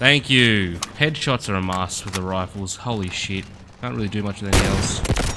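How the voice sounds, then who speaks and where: A man's fairly low voice with ordinary pitch variation at a moderate pace, over loud background noise. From Australia. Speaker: gaming YouTuber. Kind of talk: gameplay commentary. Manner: animated. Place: home room. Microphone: headset.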